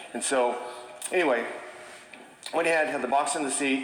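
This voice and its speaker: Fairly high pitch from a man, with audible room echo and noticeable background noise. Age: 60s. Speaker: chimney sweep. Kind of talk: testimony. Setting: stage with audience. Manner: casual.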